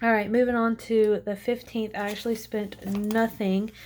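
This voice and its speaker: Soft-spoken and fairly high in pitch, a woman talks at a fairly slow pace with monotone, flat intonation. The recording is very clean, with a silent background. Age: 20s. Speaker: lifestyle budgeting vlogger. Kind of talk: casual vlog tutorial.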